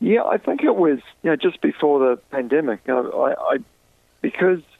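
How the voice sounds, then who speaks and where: A man with a New Zealand accent at a moderate pace. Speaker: professional golfer. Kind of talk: interview. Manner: halting.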